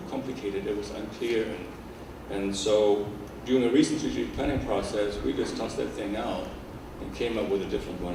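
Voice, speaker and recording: Fairly quick speech from a man, audible room echo around it and noticeable background noise beneath. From Germany. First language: German. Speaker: organizational consultant and behavior analyst. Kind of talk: lecture.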